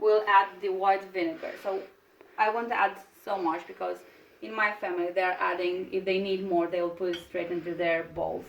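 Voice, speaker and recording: With a Romanian accent, a woman speaks in a monotone, flat intonation over noticeable background noise. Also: medium pitch for a woman, moderate pace. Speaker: cooking video host. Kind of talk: cooking tutorial. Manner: halting, with repeated words and fillers.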